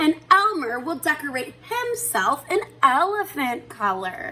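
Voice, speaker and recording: Putting on a character voice, a woman talks at a fairly slow pace with a high pitch and very wide pitch swings. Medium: read story.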